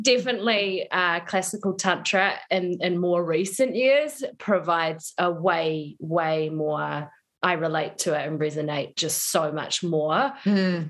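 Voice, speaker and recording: A woman with a plain, everyday voice speaks at a fairly low pitch with ordinary pitch variation. She talks with hardly any pauses. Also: fairly slow pace. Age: 30s. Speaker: yoga and embodiment coach. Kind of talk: interview conversation.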